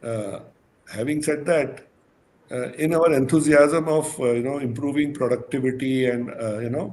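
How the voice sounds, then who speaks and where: A man with a fairly high pitch and an American accent, at a moderate pace with fairly even intonation. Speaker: management consultant. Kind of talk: podcast panel discussion.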